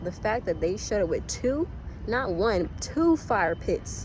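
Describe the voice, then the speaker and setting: Music plays in the background as a soft-spoken woman talks, with audible room echo. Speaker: yoga teacher trainee and event host. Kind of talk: casual vlog monologue. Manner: animated.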